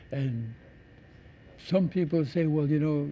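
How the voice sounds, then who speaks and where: The voice has a dark, mellow tone, somewhat breathy, with ordinary pitch variation at a fairly slow pace. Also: man. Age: 80s+. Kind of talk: interview.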